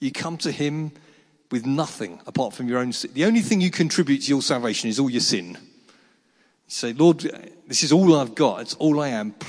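With an English accent, a man talks at a fairly quick pace in a fairly high voice, using lively intonation and frequent long pauses. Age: 50s. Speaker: pastor. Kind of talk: sermon.

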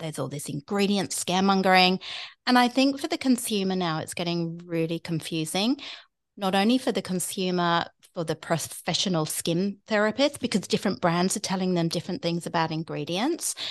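A woman with a British accent talks at a fairly quick pace and medium pitch against a quiet background. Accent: British accent, living in Australia. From UK. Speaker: skincare expert podcast host. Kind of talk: casual chat. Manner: chatty, rambling.

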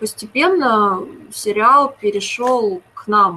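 A woman speaks with a fairly high voice. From Moscow, Russia. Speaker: TV series screenwriter. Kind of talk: interview.

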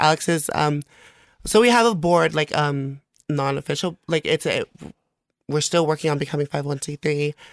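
With a Samoan accent, a woman speaks at a very deep, low pitch with ordinary pitch variation, the sound dry and close with no echo. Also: moderate pace. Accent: Samoan-accented American English. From American Samoa, raised partly in California. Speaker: guest. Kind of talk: casual chat.

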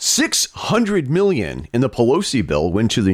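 A man with a medium pitch and vocal fry talks at a moderate pace, his pitch swinging very widely. The recording is very clean, with a silent background. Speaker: podcaster. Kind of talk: casual political discussion. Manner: sarcastic.

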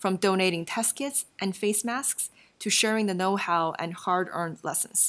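A woman speaks at a moderate pace with a Chinese accent, her pitch medium with ordinary variation. The recording is very clean, with a silent background. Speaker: podcast host. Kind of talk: scripted conversational podcast.

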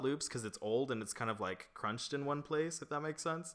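Here a man talks with ordinary pitch variation. Noticeable background noise can be heard. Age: 20s. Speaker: podcast co-host. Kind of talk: casual chat. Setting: apartment.

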